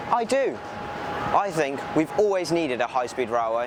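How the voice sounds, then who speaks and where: With an English accent, a man speaks at a moderate pace and a fairly high pitch over noticeable background noise. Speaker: railway video creator. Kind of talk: documentary presentation. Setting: outdoors at a station.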